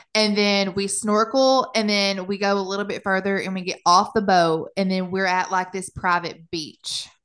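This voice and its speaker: A plain, everyday voice with an American accent keeps fairly even intonation at a moderate pace with hardly any pauses, over a quiet background. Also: woman, medium pitch for a woman. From US small town. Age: 20s. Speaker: podcast co-host. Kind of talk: casual chat.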